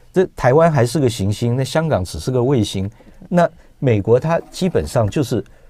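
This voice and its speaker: A man with a medium-pitched, dark, mellow and somewhat breathy voice talks at a moderate pace with very wide pitch swings, in a dry sound with no echo. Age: 50s. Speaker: film producer; guest. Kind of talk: radio interview. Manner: halting. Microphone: lapel.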